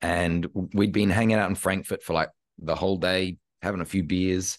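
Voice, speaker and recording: Over a quiet background, a man with a very deep, low voice and vocal fry speaks at a moderate pace with an Australian accent. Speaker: imposter syndrome coach and speaker. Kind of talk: casual interview chat. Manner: animated.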